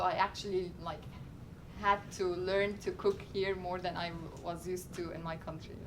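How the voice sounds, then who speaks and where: Noticeable background noise and audible room echo fill the space as a woman speaks at a moderate pace. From Egypt. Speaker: graduate student, cultural ambassador. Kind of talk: classroom Q&A talk. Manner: hesitant, many fillers.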